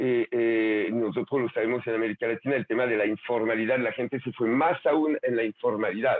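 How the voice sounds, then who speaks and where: This man talks at a medium pitch in a French accent. His pace is moderate. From France. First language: French (speaking Spanish). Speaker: conference speaker on labor and education trends. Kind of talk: virtual conference talk with slides. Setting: online video session. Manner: halting, many fillers and repetitions.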